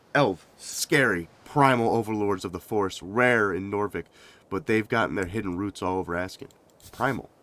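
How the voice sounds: Natural reading, pitch moving in a typical way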